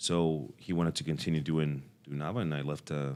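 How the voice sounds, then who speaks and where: A man's very deep, low voice at a moderate pace. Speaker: cafe owner and coffee industry figure. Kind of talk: podcast interview. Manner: halting with many repeated words.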